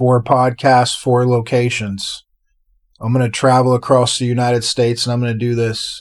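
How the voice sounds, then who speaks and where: The man's intonation stays monotone and flat. He keeps to a moderate pace. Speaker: podcast host. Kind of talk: casual monologue introducing a podcast episode.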